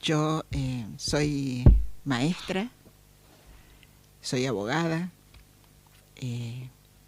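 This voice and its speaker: Delivery is very slow, broken by long, frequent pauses. Pitch varies in an ordinary way. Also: woman, very deep, low pitch for a woman. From Argentina, Córdoba. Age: 70s. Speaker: lawyer and human rights activist. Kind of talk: interview. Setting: radio studio.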